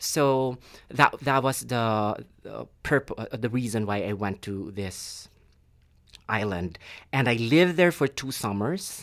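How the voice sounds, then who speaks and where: On a very clean recording with a silent background, a man speaks with a Filipino accent at a medium pitch. His intonation is lively but his pace very slow. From Philippines. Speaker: PhD student and theater director. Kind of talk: casual interview. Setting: studio. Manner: thoughtful, hesitant with filler words.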